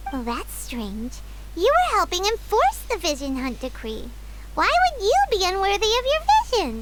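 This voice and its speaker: A squeaky, put-on character voice talks at a moderate pace. Loud background noise runs underneath. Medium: video game.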